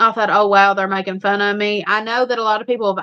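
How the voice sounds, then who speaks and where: Fairly high-pitched woman's voice with monotone, flat intonation. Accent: Eastern Kentucky. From Eastern Kentucky, Appalachia. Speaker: homestead channel live streamer. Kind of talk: casual chat on a live stream. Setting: live stream with a co-host.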